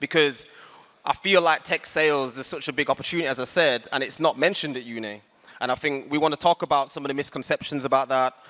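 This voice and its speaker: At a very fast pace, a man with a West Yorkshire accent speaks in a fairly high pitch with a bright, sharp tone, fairly even intonation and a dry, close sound with no echo. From northern England, Huddersfield. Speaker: community founder, panel moderator. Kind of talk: panel discussion on stage. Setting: stage with audience.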